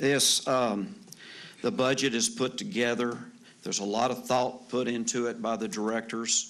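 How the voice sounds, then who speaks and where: Against audible room echo, a man speaks at a moderate pace and medium pitch with ordinary pitch variation. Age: 60s. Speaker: city council member. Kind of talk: council debate. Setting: council chamber.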